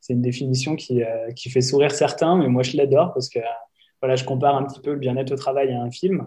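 Talking at a very fast pace, a man uses a medium pitch and fairly even intonation, his voice somewhat breathy with a dark, mellow tone. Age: 30s. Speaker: industrial sector employee and wellbeing consultant. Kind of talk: interview.

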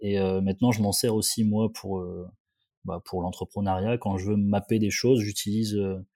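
Flat and monotone, a man speaks at a moderate pace with a fairly low pitch and a dark, mellow tone. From northern France, Valenciennes area. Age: 30s. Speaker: periodontist and startup founder. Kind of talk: casual interview.

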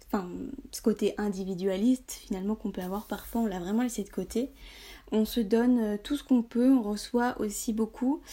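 Somewhat breathy and dark, mellow in tone, a woman's fairly high-pitched voice moves at a moderate pace with ordinary pitch variation. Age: 20s. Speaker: blogger on high sensitivity. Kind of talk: casual interview chat.

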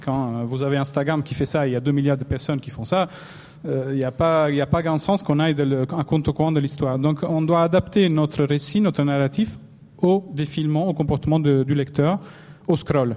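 Speaking at a moderate pace in an Italian accent, a man has a fairly high pitch, a dark, mellow tone and fairly even intonation. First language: Italian (speaking French). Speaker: newspaper infographics editor. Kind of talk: panel discussion. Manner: halting.

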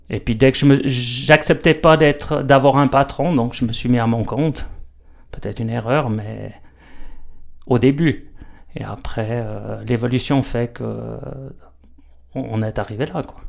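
Using long, frequent pauses, a man speaks very slowly at a medium pitch with fairly even intonation and big swings in loudness. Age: 50s. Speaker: stonemason. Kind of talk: casual interview. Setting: workshop.

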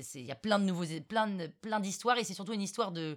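Her voice sits at a medium pitch for a woman, and her intonation is lively. There is no background sound at all, and the recording is very clean. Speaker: podcaster and storyteller. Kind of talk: casual interview.

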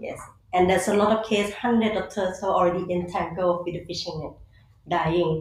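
Somewhat breathy and at medium pitch, a woman with a Thai accent speaks with fairly even intonation amid audible room echo. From Thailand. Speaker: conservationist. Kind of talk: interview. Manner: halting.

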